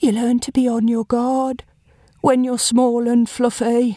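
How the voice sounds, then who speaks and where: A female-sounding, put-on character voice speaks in a high pitch. The delivery is fairly slow, with monotone, flat intonation. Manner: defiant.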